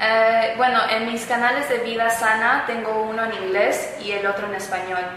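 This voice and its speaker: A woman speaks at a fairly high pitch in a monotone, flat intonation, at a fairly quick pace with hardly any pauses. Noticeable background noise and audible room echo come through. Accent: American. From United States. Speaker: YouTuber on healthy eating. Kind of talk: interview. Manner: casual, conversational.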